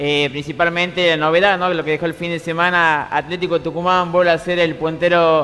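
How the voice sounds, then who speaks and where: A man talks in a high pitch at a fairly quick pace. His intonation is monotone and flat. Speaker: sports co-host. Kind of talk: TV sports commentary. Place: studio.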